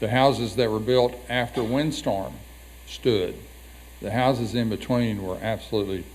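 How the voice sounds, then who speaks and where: Amid audible room echo, a man with a fairly low, fry-tinged voice and an American accent speaks at a moderate pace with ordinary pitch variation. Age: 70s. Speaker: county commissioner. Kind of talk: public hearing comment. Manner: halting.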